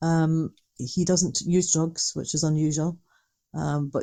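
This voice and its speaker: A woman with a Dundee accent speaks at a moderate pace in a very deep, low voice with a dark, mellow tone and monotone, flat intonation. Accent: Scottish (Dundee). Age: 60s. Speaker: retired social worker, mother of an addict. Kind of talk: interview.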